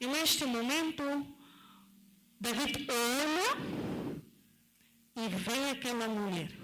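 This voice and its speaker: Amid noticeable background noise and audible room echo, a woman with a high pitch speaks at a very slow pace with lively intonation and long, frequent pauses. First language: not Portuguese (speaking Portuguese). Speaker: lay preacher. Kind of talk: sermon. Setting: church.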